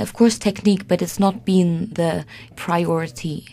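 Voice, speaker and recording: With a somewhat breathy quality, the speaker uses ordinary pitch variation. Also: woman. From Sweden. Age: 20s. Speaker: concert pianist. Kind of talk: interview. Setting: radio studio.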